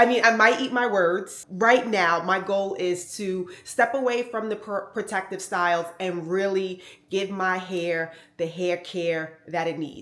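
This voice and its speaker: With an American accent, a woman talks in an ordinary speaking voice at medium pitch and a fairly slow pace, with ordinary pitch variation. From New York. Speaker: fashion vlogger. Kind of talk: casual vlog talk to camera.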